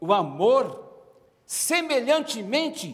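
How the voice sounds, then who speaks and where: A man's voice is heard with audible room echo. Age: 70s. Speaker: pastor, speaker on marriage. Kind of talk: sermon.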